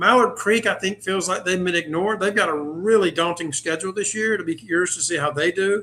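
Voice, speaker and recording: A man with an American accent raises and projects his voice. His tone is bright and sharp, with a high pitch. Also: ordinary pitch variation, fairly quick pace, hardly any pauses. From North Carolina. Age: 60s. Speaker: sportswriter. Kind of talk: casual chat.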